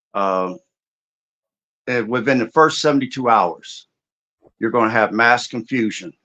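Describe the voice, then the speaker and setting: This man has an unremarkable speaking voice at a medium pitch. He talks at a moderate pace over a quiet background. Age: 60s. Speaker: martial artist and preparedness expert. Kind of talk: interview discussion.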